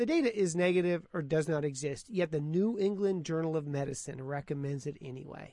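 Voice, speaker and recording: A man speaks in an animated tone at a moderate pace. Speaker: podcast host, physician commentator. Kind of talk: solo commentary podcast.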